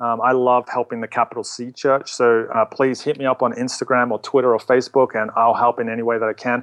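A man with an American accent talks at a fairly quick pace in a medium pitch, his intonation flat and monotone, the sound dry and close with no echo. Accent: Australian, slight New Jersey tinge. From Australia, Melbourne. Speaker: church social media pastor. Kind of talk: casual interview.

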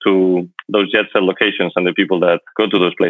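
A man with a Spanish accent at a fairly quick pace. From Spain, Madrid. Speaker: luxury travel entrepreneur. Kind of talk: interview.

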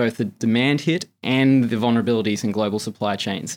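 A man with an American accent at a very fast pace, ordinary pitch variation, very clean recording and silent background. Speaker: markets salesperson at an investment bank. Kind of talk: interview about financial markets.

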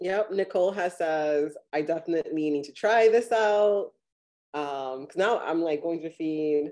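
Speaking with an American accent, a woman with a fairly low pitch and a dark, mellow tone talks at a fairly slow pace, with ordinary pitch variation and big swings in loudness. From US South, Miami. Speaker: podcast host. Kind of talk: interview and live demonstration.

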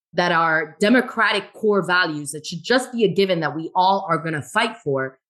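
With an American accent, a woman uses an ordinary speaking voice at a fairly low pitch, moving at a moderate pace with lively intonation. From Florida, Miami. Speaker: politician and business owner. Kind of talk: casual chat.

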